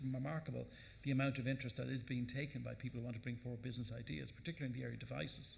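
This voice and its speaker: A man with an Irish accent talks at a very fast pace with vocal fry. Audible room echo is present. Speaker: government minister. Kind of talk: panel Q&A answer. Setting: conference stage with audience. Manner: halting.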